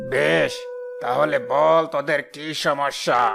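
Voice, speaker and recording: A raspy, cartoonish character voice plays over clear music in the background. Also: man, fairly high pitch for a man. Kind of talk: rural folk-tale sage, familiar address. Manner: stern, commanding.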